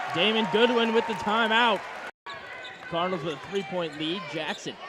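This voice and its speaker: The voice is raised and projected. Its loudness swings a lot. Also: man, high pitch for a man, ordinary pitch variation, moderate pace. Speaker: sports play-by-play announcer. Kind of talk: basketball play-by-play commentary.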